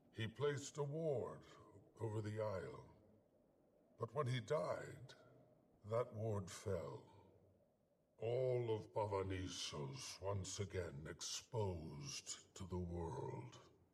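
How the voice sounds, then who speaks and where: A man's put-on character voice at a very slow pace, broken by long, frequent pauses. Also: fairly low pitch for a man. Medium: video game. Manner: measured, deliberate.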